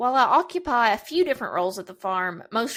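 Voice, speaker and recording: A woman with a Kentucky accent speaks at a fairly quick pace in a fairly high voice, on a very clean recording with a silent background. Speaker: podcast host, farm PR coordinator. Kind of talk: podcast introduction monologue. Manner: enthusiastic.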